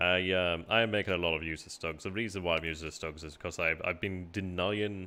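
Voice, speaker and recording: With a relaxed tone and very deep, low pitch, a man talks at a fairly quick pace, his intonation fairly even and hardly any pauses. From northern England, Barnsley, South Yorkshire. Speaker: gaming streamer. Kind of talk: casual live-stream commentary. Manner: relaxed, hesitant with fillers.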